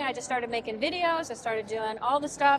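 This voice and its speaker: Speaking at a very fast pace with a high pitch and fairly even intonation, a woman is heard over noticeable background noise. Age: 60s. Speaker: home cook and former opera singer. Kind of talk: interview answer.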